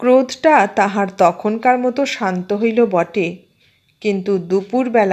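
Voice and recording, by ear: Someone is reading aloud in a natural voice. The pitch varies in an ordinary way over a quiet background.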